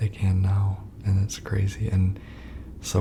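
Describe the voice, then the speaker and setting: Soft-spoken and fairly low-pitched, a man with an American accent talks in a monotone, flat intonation. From US Midwest. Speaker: ASMR gaming narrator. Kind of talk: ASMR let's play voiceover commentary. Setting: voiceover recorded over pre-recorded gameplay.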